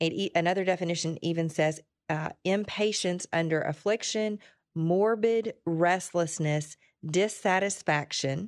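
In an ordinary speaking voice, a woman talks fairly low, her intonation fairly even. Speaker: radio host. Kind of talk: call-in show. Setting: studio.

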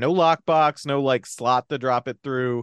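A man with an American accent uses an ordinary speaking voice at medium pitch and moderate pace, with ordinary pitch variation, in a dry, close sound with no echo over a quiet background. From New Jersey. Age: 30s. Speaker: podcast host. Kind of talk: casual chat.

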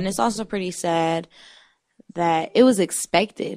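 A woman with a plain, everyday voice, fairly low pitch, ordinary pitch variation and a moderate pace, in a very clean recording with a silent background. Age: 20s. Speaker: radio show co-host. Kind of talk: casual chat.

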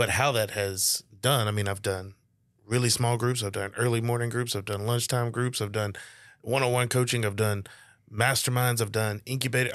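A man speaks at a medium pitch and moderate pace with fairly even intonation. He leaves long, frequent pauses, and the recording is very clean with a silent background. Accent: Louisiana. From northeast Louisiana (Monroe). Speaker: business coach, podcaster. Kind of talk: casual chat. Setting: studio.

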